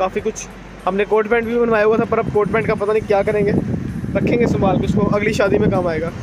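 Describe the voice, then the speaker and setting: A man is speaking with loud background noise. The sound is dry, with no echo. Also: moderate pace. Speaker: vlogger. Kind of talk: casual vlog chat. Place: street. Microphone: phone near.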